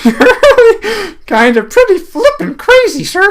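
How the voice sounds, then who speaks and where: In a put-on character voice, the speaker uses an extremely high pitch with very wide pitch swings at a fairly slow pace. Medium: read story. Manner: giggly, hesitant.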